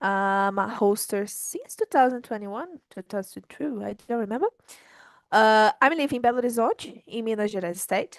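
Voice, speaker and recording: Her fairly high pitch and Portuguese accent come through at a moderate pace, with a dry, close sound with no echo, as this woman speaks. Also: ordinary pitch variation. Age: 20s. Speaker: conversation group host. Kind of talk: casual chat.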